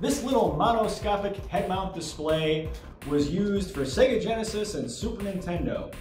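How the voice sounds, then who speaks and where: Amid audible room echo and faint music in the background, a man speaks at a moderate pace with a high pitch and lively intonation. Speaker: retro VR tech reviewer. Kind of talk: unboxing and setup talk to camera. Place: empty room.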